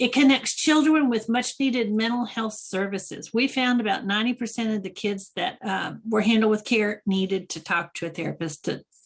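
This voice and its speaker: A woman with a fairly high, somewhat breathy voice talks with hardly any pauses. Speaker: expert presenter on school trauma support program. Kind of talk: webinar presentation.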